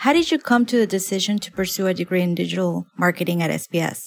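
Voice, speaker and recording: A woman speaks with an unremarkable speaking voice at a medium pitch. Her pace is fairly quick, and her pitch varies in an ordinary way. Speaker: podcast interviewer. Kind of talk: interview.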